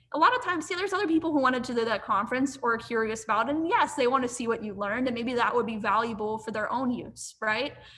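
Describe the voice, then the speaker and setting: A high-pitched woman at a very fast pace with hardly any pauses, animated tone and lively intonation, over noticeable background noise. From US, western Pennsylvania (near Pittsburgh). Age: 20s. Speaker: marketing professional. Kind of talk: interview.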